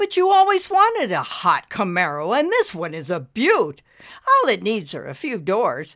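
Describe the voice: A woman's put-on character voice at a medium pitch, fairly bright in tone, with very wide pitch swings and a fairly slow pace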